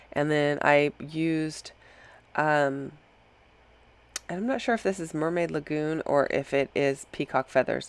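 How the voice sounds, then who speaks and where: A woman speaks at a very deep, low pitch. She leaves long, frequent pauses. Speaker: scrapbooking crafter. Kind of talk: voiceover tutorial. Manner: casual with fillers.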